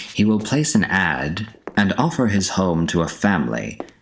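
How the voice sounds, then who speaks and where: Using a put-on character voice with a fairly low pitch, a man speaks at a moderate pace with very wide pitch swings. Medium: read story. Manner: cold, formal.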